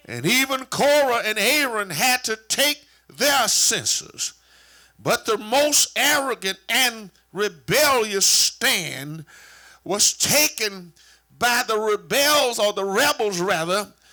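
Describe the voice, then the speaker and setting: This man projects a raised voice with a bright, sharp tone and a high pitch. His intonation is lively, though his pace is very slow. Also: very clean recording, silent background. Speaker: church superintendent / preacher. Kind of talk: sermon preached to a congregation. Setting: church with a live congregation.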